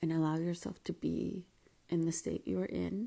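A woman is speaking. Her voice is quiet. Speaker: life coach. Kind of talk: live stream talk. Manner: casual. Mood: calm, gentle, reflective. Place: home room. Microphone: quiet, moved mic closer; earbuds.

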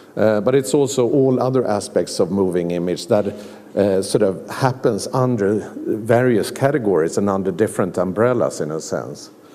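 A man speaks with a Swedish accent in a fairly low voice. His pace is moderate and his pitch variation is ordinary. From Sweden. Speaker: museum director. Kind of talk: lecture. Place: hall. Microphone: podium.

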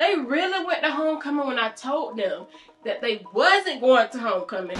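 A woman speaks at a moderate pace in a raised, projected voice, with faint music in the background. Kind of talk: scripted family skit, scolding. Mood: mock angry, embarrassing.

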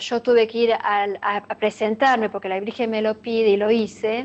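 Her delivery is fairly slow. The speaker is a woman. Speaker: interviewee. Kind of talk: interview answer. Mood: earnest, devotional. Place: home room. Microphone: webcam.

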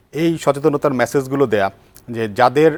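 This is a normal speaking voice from a man at a medium pitch. His intonation stays fairly even. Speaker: doctor and TV health show host. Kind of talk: TV health interview. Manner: formal.

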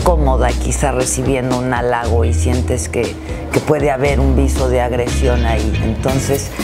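A woman at a fairly slow pace, with clear music in the background. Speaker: broadcaster and theatre performer. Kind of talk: interview answer. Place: hall.

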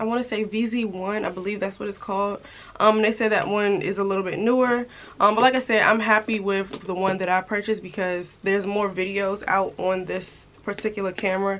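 A woman talks at a fairly quick pace in a flat monotone, with light background noise behind her. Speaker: lifestyle vlogger. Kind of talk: casual vlog chat.

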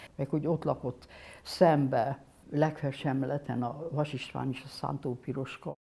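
Very deep and low in pitch, a woman speaks at a fairly slow pace with a dark, mellow tone and a monotone, flat intonation. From Hungary. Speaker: painter. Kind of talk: interview. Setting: studio workshop. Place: studio. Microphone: lapel.

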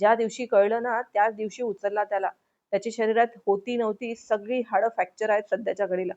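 The speaker is reading aloud in a natural voice with fairly even intonation against a quiet background.

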